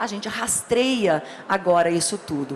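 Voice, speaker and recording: A woman speaks in an animated tone. Noticeable background noise and audible room echo surround her. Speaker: labour court judge. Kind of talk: lecture. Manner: fast.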